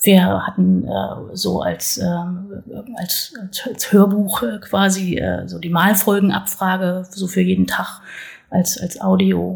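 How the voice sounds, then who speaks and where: Over noticeable background noise, a woman speaks at a very slow pace, her loudness swinging widely. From northern Hesse, Germany. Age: 40s. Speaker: local politician and parent. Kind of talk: casual interview. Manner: hesitant, many fillers.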